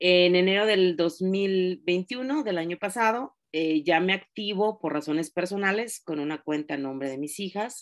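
Against a quiet background, a woman talks at a fairly slow pace with lively intonation and hardly any pauses. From Mexico, Oaxaca. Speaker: direct sales consultant. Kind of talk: training class. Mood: warm, encouraging. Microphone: video call.

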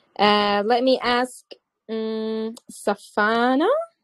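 Fairly even intonation carries this speech in a Levantine accent. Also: woman. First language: Arabic. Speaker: English teacher. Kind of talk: online English class.

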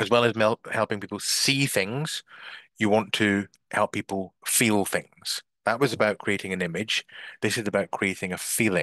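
A man speaks at a fairly low pitch with a bright, sharp tone, ordinary pitch variation and a moderate pace. The sound is dry with no echo, over a quiet background. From Scotland. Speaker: business coach; marketing coach. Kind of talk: online masterclass / webinar. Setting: video call (Zoom live stream) from a bedroom. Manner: hesitant filler words (um, uh). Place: home room. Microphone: headset.

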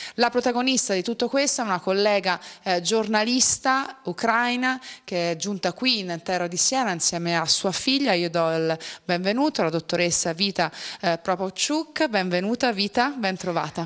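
A woman at a moderate pace with lively intonation over a quiet background. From Italy. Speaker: TV presenter. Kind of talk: TV interview. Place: studio. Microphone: handheld.

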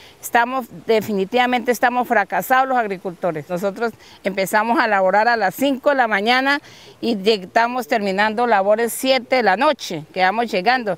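A woman with fairly high pitch speaks in a plain, everyday voice at a moderate pace, her loudness very even and her pitch varying in an ordinary way. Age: 60s. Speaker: farmer. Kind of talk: field interview.

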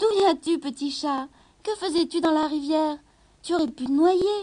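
The speaker uses a put-on character voice. The pace is moderate, with ordinary pitch variation. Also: woman, extremely high pitch for a woman.

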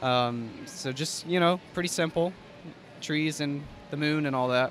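A man's fairly slow speech with ordinary pitch variation, dry with no echo, over music in the background. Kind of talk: interview answer. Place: hall.

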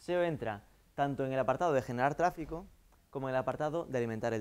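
Speaking at a very fast pace, a man talks with a Galician accent. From Galicia, Vigo area. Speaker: marketing consultant; guest lecturer. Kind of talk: lecture. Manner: halting. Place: classroom.

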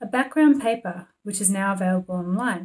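The woman's voice sounds somewhat breathy. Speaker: competition policy expert. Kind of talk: institutional policy briefing to camera. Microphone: webcam.

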